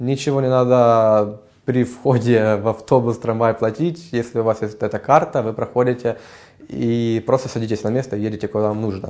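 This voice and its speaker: With intonation kept fairly flat, a man of middling pitch speaks at an average speed. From Ukraine. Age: 20s. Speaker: music student. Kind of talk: interview. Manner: hesitant, many filler sounds.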